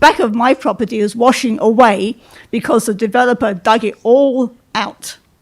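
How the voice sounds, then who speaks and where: With a British accent, a woman speaks at a moderate pace and a fairly high pitch, with ordinary pitch variation. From England. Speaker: resident speaking at public meeting. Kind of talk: public comment at meeting. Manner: brisk.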